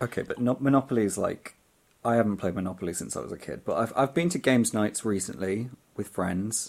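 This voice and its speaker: The delivery is fairly quick in a plain, everyday voice, and the pitch varies in an ordinary way. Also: man. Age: 30s. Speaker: camera assistant. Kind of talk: casual chat. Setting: music studio.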